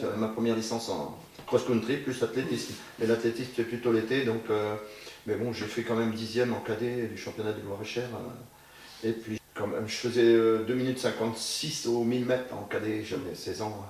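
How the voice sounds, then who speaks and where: Against noticeable background noise and audible room echo, a man speaks at a moderate pace in a medium pitch with monotone, flat intonation. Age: 60s. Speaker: amateur cyclist. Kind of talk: interview.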